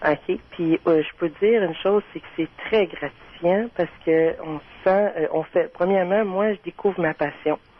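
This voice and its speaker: Speaking with a Quebec accent, a woman delivers her words at a fairly slow pace, with fairly low pitch and fairly even intonation. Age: 30s. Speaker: caller. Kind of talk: casual chat.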